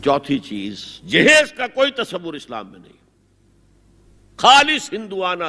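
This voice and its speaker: A man's voice is high-pitched with a bright, sharp tone. It moves through very wide pitch swings. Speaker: Islamic scholar giving a sermon. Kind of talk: religious lecture. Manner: emphatic, forceful, repetitive for emphasis.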